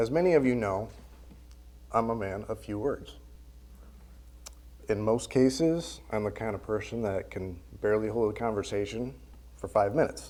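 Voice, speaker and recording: Soft-spoken and dark, mellow in tone, a man talks at a moderate pace with lively intonation, long, frequent pauses and audible room echo. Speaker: church member giving a lesson. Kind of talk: sermon. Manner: halting.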